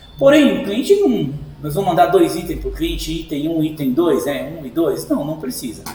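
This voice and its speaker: Big swings in loudness mark a man speaking at a moderate pace, with audible room echo and noticeable background noise. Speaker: sign shop owner giving software tutorial. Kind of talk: screen-recorded tutorial. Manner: casual, informal.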